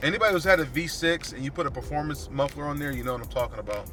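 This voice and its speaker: A man is shouting. He talks at a fairly quick pace. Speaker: car reviewer. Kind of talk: POV test drive review. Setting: in a car. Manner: loud, yelling; casual, halting with fillers.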